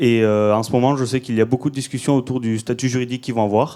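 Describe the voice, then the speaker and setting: A man's dark, mellow voice at a fairly quick pace, monotone and flat, on a very clean recording with a silent background. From southern France, Toulouse. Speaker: audience member, army reservist. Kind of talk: audience question. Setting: conference hall with audience. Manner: hesitant, many fillers.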